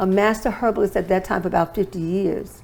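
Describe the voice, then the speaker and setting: Here is a woman with a normal speaking voice at medium pitch. She talks at a fairly quick pace with ordinary pitch variation. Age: 60s. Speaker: holistic wellness expert and author. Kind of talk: interview testimony.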